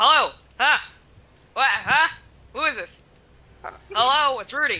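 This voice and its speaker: A high-pitched, put-on character voice carries the speech. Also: moderate pace. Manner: confused, loud, gruff.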